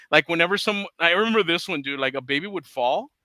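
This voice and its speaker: Talking at a very fast pace with a Spanish accent, a man uses a high pitch, very wide pitch swings and a bright, sharp tone. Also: dry, close sound with no echo, very clean recording, silent background. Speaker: comic book writer. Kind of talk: casual chat.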